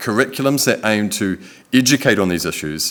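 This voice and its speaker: Speaking fairly quickly, a man with a New Zealand accent uses a fairly low pitch. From New Zealand, Whanganui. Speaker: photographer and videographer, Treaty educator. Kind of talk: public lecture. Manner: calm.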